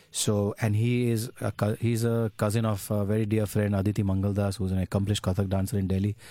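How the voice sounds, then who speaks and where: A very fast, monotone delivery with flat intonation, a dark, mellow tone, very even loudness and hardly any pauses. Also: man, fairly low pitch for a man, very clean recording, silent background. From India, Ahmedabad. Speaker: tabla player and festival organiser. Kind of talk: radio interview.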